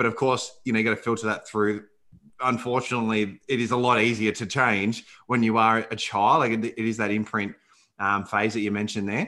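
Against a quiet background, a man with an Australian accent talks fairly quickly in a bright, sharp tone and a flat monotone. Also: medium pitch for a man. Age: 30s. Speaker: podcast host. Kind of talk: podcast interview.

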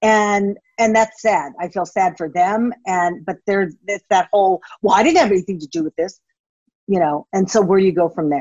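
An unremarkable speaking voice from a woman with an American accent, medium pitch, ordinary pitch variation and a moderate pace. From United States. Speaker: former TV journalist and blogger. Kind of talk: casual interview conversation.

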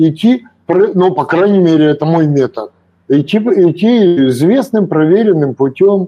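Very slow in pace, a man's high voice carries lively intonation at a very even loudness. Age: 70s. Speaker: retired investor and author. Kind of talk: casual chat.

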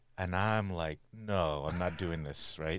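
Very deep and low in pitch, a man speaks at a moderate pace with ordinary pitch variation. The recording is very clean, with a silent background. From US, Cambodian American. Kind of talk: interview. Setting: studio.

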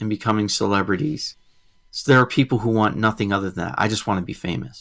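An ordinary speaking voice from a man with fairly low pitch and lively intonation, on a very clean recording with a silent background. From Massachusetts. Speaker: podcast host. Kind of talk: casual chat.

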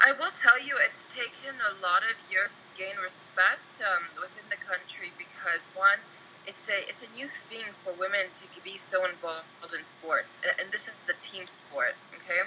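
A woman with an American accent talks at a moderate pace and medium pitch, with ordinary pitch variation. Her loudness swings widely. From US (Oklahoma and Texas). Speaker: football coach and former national team captain. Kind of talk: interview.

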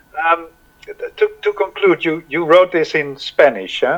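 Music plays in the background as a man with a Dutch accent speaks at a fairly slow pace. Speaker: podcast host. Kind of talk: interview; scripted introduction. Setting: home recording, attic or cellar. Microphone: poor sound quality.

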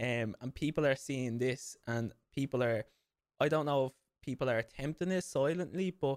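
A man with an Irish accent speaks at a medium pitch and moderate pace, his voice recorded dry and close with no echo. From Ireland. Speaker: podcast host and fitness trainer. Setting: video call across time zones.

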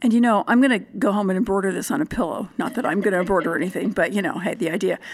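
Very fast and marked by vocal fry, a woman's medium-pitched voice moves with ordinary pitch variation. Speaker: podcast host. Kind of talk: interview conversation.

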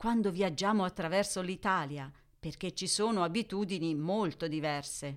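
An unremarkable speaking voice moves at a moderate pace with lively intonation, on a very clean recording with a silent background. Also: woman. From Italy. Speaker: podcast host, Italian teacher. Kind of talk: educational monologue for Italian learners. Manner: clear, measured.

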